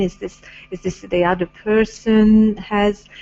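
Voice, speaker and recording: In a Hungarian accent, a woman talks at a medium pitch and a very slow pace. Her intonation stays monotone and flat. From Hungary. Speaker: spiritual talk show host. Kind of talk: casual interview chat about spirituality. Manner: hesitant, many fillers.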